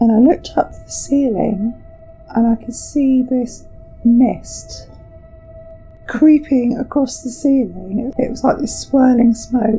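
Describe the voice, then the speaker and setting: Music plays behind a woman with a high voice who talks at a very slow pace. Her intonation is fairly even, while her loudness swings widely. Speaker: podcast host. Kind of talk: interview answer.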